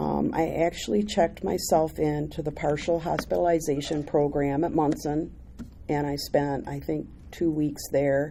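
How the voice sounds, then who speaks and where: With vocal fry and a dark, mellow tone, a woman speaks at a very deep, low pitch and a moderate pace, her pitch varying in an ordinary way. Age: 60s. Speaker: recovery speaker. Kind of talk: testimony.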